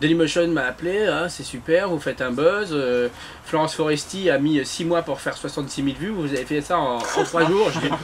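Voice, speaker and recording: A man's fairly high voice with ordinary pitch variation at a moderate pace, with noticeable background noise. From northern France (Lille, Armentières). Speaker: television creator. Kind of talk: interview.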